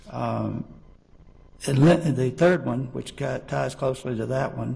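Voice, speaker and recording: A man speaks at a fairly slow pace with a Southern US accent. Audible room echo surrounds his voice. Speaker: witness, corrections official. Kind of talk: court testimony. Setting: courtroom. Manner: halting, many fillers.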